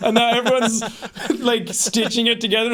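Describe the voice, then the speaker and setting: This man speaks with an American accent. His pitch is high and his tone animated. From Ireland. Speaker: podcast co-host. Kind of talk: casual chat.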